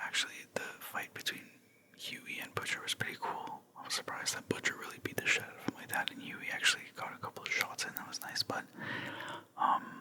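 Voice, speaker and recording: Someone whispers at a fairly quick pace. Noticeable background noise runs underneath. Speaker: ASMR creator. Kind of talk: ASMR whisper ramble about a TV finale. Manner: whispered, soft; casual, rambling.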